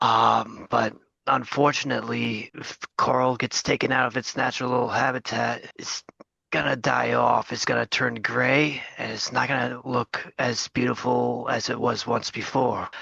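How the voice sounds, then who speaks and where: The man performs a put-on character voice that sounds raspy. His pitch is medium and his pace moderate. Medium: actual play. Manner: smooth, persuasive.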